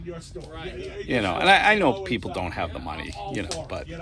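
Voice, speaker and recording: Against noticeable background noise, a man speaks with a Boston accent. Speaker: comic shop customer. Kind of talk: casual chat. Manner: animated.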